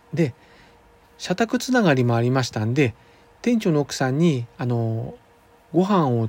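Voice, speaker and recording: The sound is dry and close with no echo. A man with a medium pitch speaks at a moderate pace. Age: 50s. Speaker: acupuncturist and podcast host. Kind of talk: monologue. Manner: formal; halting with fillers.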